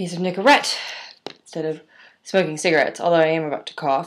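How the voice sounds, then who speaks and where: A woman talks with fairly even intonation at a fairly low pitch. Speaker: video diarist. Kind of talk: casual talk to camera. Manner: rambling, self-deprecating. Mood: wry, self-mocking. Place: home room. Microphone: webcam.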